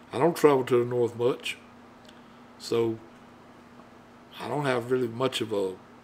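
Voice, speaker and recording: Pausing long and often, a man with a Southern US accent talks at a medium pitch with fairly even intonation. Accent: southern drawl. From US South. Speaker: YouTuber. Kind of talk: casual monologue. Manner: halting.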